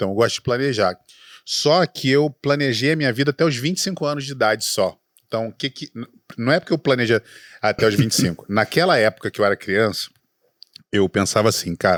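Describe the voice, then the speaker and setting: Talking very fast, a man uses lively intonation at a medium pitch. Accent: Rio de Janeiro. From Rio de Janeiro, Brazil. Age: 40s. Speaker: entrepreneur, startup specialist, former radio broadcaster. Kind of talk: podcast interview. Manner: stutters when nervous.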